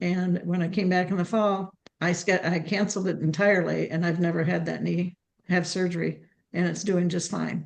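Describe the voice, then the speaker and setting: A woman speaks at a moderate pace in a fairly low pitch, her intonation monotone and flat, with vocal fry. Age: 70s. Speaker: webinar guest sharing health testimony. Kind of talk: testimony.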